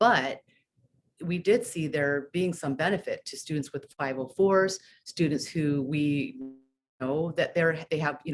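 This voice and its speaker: Very deep, low pitch from a woman, with ordinary pitch variation at a moderate pace. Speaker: school staff meeting facilitator. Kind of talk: staff presentation.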